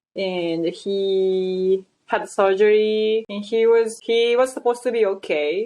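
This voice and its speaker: Pitch variation is ordinary, and the speech comes with a non-native accent. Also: woman. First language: not English. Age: 30s. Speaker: model and actress. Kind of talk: interview conversation. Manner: halting, with many restarts.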